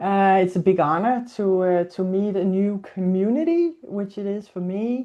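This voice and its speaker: In a quiet background, a woman with a Danish accent speaks in a dark, mellow tone. Her pitch is medium and her intonation fairly even. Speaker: zoo animal welfare and training coordinator. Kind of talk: webinar presentation. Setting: video call. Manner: slow.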